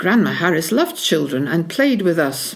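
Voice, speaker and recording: A woman with a Scottish accent, very wide pitch swings and a moderate pace, over noticeable background noise. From Scotland, Peebles (Scottish Borders). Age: 70s. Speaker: local history interviewee. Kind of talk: reminiscence, reading prepared memoir.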